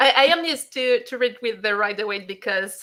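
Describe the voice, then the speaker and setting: A woman's bright, sharp tone in a French accent, at a moderate pace. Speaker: tarot author. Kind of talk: interview. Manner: halting.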